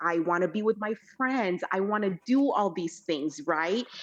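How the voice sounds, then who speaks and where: A woman in a Spanish accent speaks at a fairly slow pace, her medium pitch swinging very widely. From El Salvador, raised in California. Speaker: podcast guest. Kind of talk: casual interview conversation. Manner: halting, stumbles over some words.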